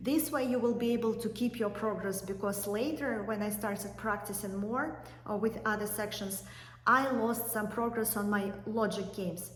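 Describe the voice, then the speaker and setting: Through audible room echo and noticeable background noise, a voice with a non-native accent speaks at a moderate pace with fairly even intonation. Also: woman, fairly high pitch for a woman. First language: not English. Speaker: YouTuber, law school applicant. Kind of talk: tutorial. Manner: hesitant with fillers.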